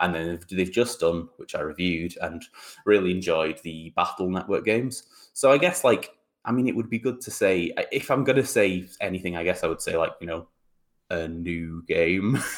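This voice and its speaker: A man's very deep, low voice with ordinary pitch variation on a very clean recording with a silent background. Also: moderate pace. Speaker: podcast co-host. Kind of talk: casual chat. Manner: energetic.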